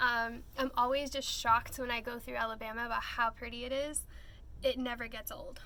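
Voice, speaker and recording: A woman's raised, projected voice in a Texan accent, with audible room echo and noticeable background noise. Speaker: travel vlogger. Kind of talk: casual chat. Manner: rambling, hesitant with fillers.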